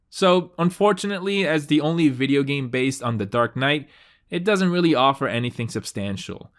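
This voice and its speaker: A man speaks at a fairly quick pace with a fairly high pitch. His voice has very wide pitch swings on a very clean recording with a silent background. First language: Spanish. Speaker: video game reviewer. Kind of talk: scripted narration.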